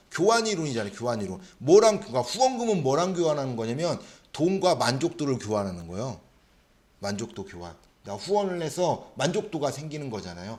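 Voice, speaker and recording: In a room with audible echo, a man with a fairly high pitch speaks at a fairly quick pace in an animated tone, with very wide pitch swings and big swings in loudness. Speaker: social welfare exam lecturer. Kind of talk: lecture. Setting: classroom. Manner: fast; animated, rhetorical questions.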